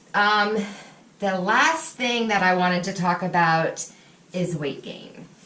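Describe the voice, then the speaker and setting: Fairly slow speech from a woman at medium pitch, amid noticeable background noise. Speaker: person in recovery from drug addiction. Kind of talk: personal vlog talk to camera.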